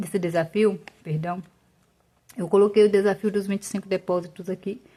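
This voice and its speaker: A woman's medium-pitched voice has a dark, mellow tone and is somewhat breathy. Her intonation stays fairly even at a moderate pace. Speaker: personal finance YouTuber. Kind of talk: tutorial. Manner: casual.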